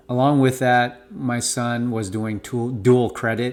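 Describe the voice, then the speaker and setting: A man's medium-pitched voice at a very slow pace. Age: 40s. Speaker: parent. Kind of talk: casual talk to camera. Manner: casual, with filler words.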